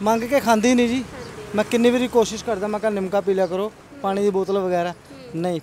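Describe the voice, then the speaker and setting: Against light background noise, a man with a high pitch speaks with fairly even intonation in a dry sound with no echo. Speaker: neighbour, passer-by. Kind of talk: interview answer. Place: street. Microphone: handheld.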